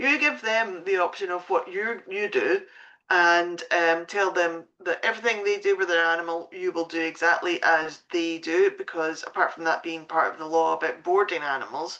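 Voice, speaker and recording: With a Scottish accent, a woman speaks at a moderate pace in a bright, sharp tone, fairly low in pitch with ordinary pitch variation. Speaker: pet sitting business coach. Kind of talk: live stream talk. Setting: Facebook live stream at home. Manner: hesitant, many fillers.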